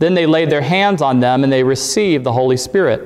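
A man is talking here. The intonation rises and falls in a lively way. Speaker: preacher. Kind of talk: scripture reading in a sermon. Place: church.

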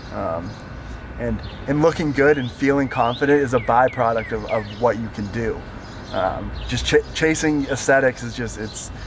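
A man speaks at a moderate pace with ordinary pitch variation. Noticeable background noise runs underneath. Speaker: vlogger and weightlifter. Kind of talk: casual vlog, then earnest motivational rant about mindset. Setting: outdoors on bikes, with wife. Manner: passionate, fervent, repeating himself; stumbling, halting, running words together. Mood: excited, upbeat.

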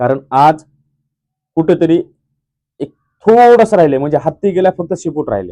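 In a dry, close sound with no echo, a man speaks at a fairly high pitch with a dark, mellow tone and lively intonation. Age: 30s. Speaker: YouTube vlogger. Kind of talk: video blog appeal to viewers. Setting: village construction site. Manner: impassioned.

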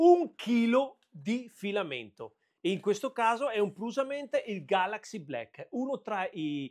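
A man's high voice with very wide pitch swings. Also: fairly slow pace, quiet background. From Veneto, Italy. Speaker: 3D printing and woodworking YouTuber; tech vlogger. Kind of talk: unboxing video. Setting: home workshop. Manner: casual, hesitant with fillers. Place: workshop. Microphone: lapel.

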